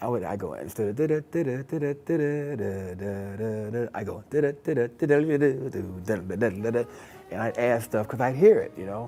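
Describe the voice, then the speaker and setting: Over music in the background, a man with an American accent talks at a fairly quick pace, his medium-pitched voice carrying lively intonation. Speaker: jazz saxophonist and educator. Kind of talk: interview.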